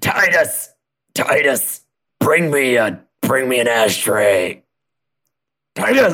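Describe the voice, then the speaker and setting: Putting on a character voice, a man shouts in a strained, raspy, fairly high-pitched voice at a very slow pace, with long, frequent pauses. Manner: yelling over her shoulder.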